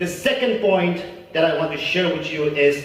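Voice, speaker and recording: A man talks at a fairly slow pace with ordinary pitch variation. Noticeable background noise sits behind him. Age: 20s. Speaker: student debater and public speaker. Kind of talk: formal speech at a government event.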